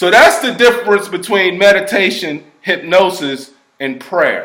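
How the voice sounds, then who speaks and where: With lively intonation, a man speaks at a fairly slow pace in a high voice. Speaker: hypnotherapist. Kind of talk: explanatory talk to camera. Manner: casual conversational.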